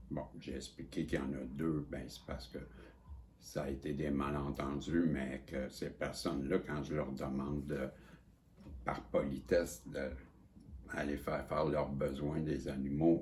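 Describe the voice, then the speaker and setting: In a room with audible echo, a man with a Quebec accent and a very deep, low pitch speaks slowly in a monotone, flat way, leaving long, frequent pauses. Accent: Québécois French. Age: 60s. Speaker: psychic vlogger. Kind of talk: casual monologue. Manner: halting, repetitive.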